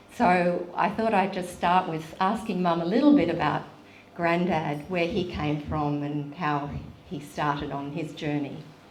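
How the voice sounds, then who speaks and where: A woman with a fairly low voice speaks at a fairly slow pace, her pitch varying in an ordinary way. Background noise is noticeable. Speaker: former journalist. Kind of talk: interviewer.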